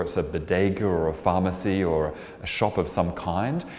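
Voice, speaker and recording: In a room with audible echo and noticeable background noise, a man speaks with an Australian accent in a very deep, low voice. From Australia (Melbourne). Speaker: artist and composer. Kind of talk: interview monologue about artwork.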